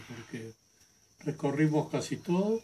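With light background noise, a somewhat breathy voice of dark, mellow tone speaks at a fairly slow pace with ordinary pitch variation. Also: man. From Argentina, Buenos Aires. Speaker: tourist. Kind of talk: testimonial. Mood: cheerful, fond recollection. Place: home room. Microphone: camera far.

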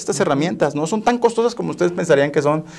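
A man speaks at a very fast pace with a fairly high pitch. His intonation is lively against a quiet background. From Mexico, Tampico, Tamaulipas; Tamaulipas, Mexico. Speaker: software company operations director; guest. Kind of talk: interview. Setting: studio. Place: studio. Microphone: lapel.

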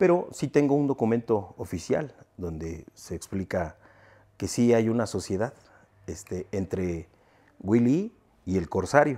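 A man speaks at a fairly slow pace with long, frequent pauses in a dark, mellow tone, his pitch swinging very widely. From Mexico. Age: 40s. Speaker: sound system owner; interviewee. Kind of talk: interview. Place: home room.

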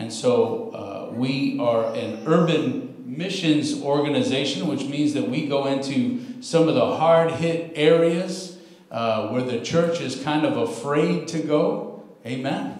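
Over audible room echo, a man speaks at a very slow pace with very wide pitch swings. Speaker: guest preacher. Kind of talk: sermon. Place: church.

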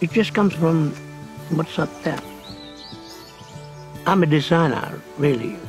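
A man talks at a fairly slow pace with ordinary pitch variation and a dry sound with no echo, over clear music in the background. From Tiwi Islands, Northern Territory, Australia. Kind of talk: interview answer. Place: open country.

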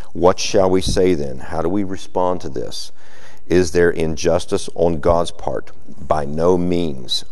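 A man speaks in a very deep, low pitch. His pace is fairly slow, with fairly even intonation. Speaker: preacher. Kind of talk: sermon. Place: church.

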